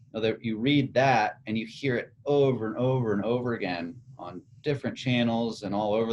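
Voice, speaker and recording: In an American accent, a man with an unremarkable speaking voice keeps a medium pitch, ordinary pitch variation and a moderate pace. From United States. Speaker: podcast host. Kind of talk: casual chat.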